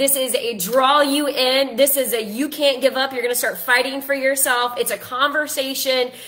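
A woman talks at a moderate pace in a high voice. She hardly pauses at all. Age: 40s. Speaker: life coach and author. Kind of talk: casual social media live video. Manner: animated.

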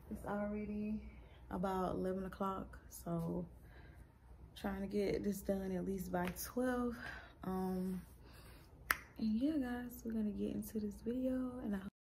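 Noticeable background noise sits behind a woman talking. She goes at a fairly slow pace with long, frequent pauses. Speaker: lifestyle vlogger. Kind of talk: casual vlog chat. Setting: at home at night. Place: home room. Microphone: phone near.

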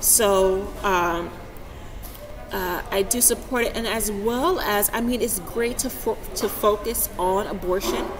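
With noticeable background noise behind her, a woman speaks very slowly in an American accent, her pitch varying in an ordinary way. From Texas. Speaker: vlogger and healthcare worker. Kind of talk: vlog commentary. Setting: outdoors on a university campus. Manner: halting. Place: hall. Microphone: webcam.

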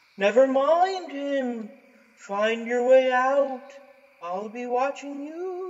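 Putting on a character voice, a man speaks extremely high for a man and very slowly. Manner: eerie, drawn-out.

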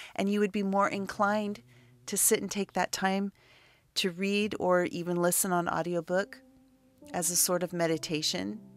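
Music plays behind a woman whose intonation stays fairly even as she talks at a moderate pace. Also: medium pitch for a woman. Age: 50s. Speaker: spiritual teacher. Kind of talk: casual chat.

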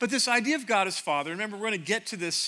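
A man's raised, projected voice, bright and sharp, racing at a very fast pace with very wide pitch swings. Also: very clean recording, silent background. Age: 50s. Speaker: pastor. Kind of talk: sermon. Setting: church stage with audience. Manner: animated.

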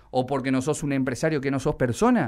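A man's fairly high-pitched voice in an angry tone. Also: quiet background. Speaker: radio host. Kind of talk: indignant radio rant. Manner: angry, sarcastic, emphatic. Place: studio.

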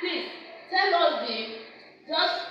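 A woman's raised, projected voice, very slow, with lively intonation, strong room echo and light background noise. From Nigeria. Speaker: ESL teacher. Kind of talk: classroom lesson. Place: classroom.

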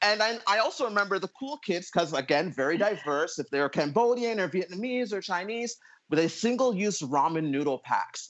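Talking at a fairly quick pace with a Canadian accent, a man uses a high pitch and very wide pitch swings. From Ottawa, Canada; Canada. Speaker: panelist. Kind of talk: casual chat. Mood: light, reminiscing. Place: home room. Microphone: earbuds.

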